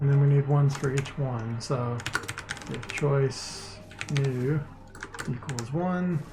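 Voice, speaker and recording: Someone speaks at a very slow pace with long, frequent pauses while music plays in the background. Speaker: indie game developer streamer. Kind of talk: live coding stream commentary. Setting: live stream from home. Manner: slurring words.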